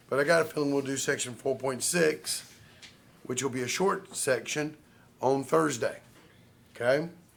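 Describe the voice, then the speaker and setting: A man's fairly high voice with ordinary pitch variation, long, frequent pauses, and audible room echo. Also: moderate pace. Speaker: math professor. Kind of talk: lecture. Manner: casual, conversational.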